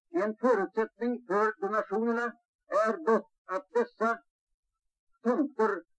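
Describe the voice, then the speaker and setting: Over a quiet background, a man talks very slowly in a high-pitched voice. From Sweden. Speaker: company owner giving speech. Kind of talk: formal speech to employees, archive recording. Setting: event hall with audience. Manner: formal, measured, dignified; slow, oratorical. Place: hall. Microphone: old recording.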